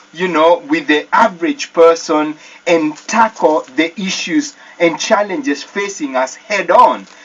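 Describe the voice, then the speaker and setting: With a Kenyan accent, the speech moves at a fairly slow pace over noticeable background noise. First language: Kikuyu. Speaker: church deacon. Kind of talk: radio interview.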